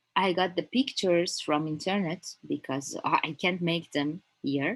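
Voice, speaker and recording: Fairly low in pitch, a woman talks at a fairly slow pace with a Persian accent. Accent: Persian (Iranian) accent in English. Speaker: crypto trading instructor. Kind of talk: online lecture. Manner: halting, many fillers.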